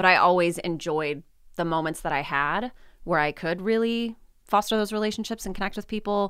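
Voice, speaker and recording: At a moderate pace, a woman with an American accent speaks in a plain, everyday voice at a medium pitch with ordinary pitch variation, on a very clean recording with a silent background. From US West, southern California desert. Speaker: university lecturer. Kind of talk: casual interview.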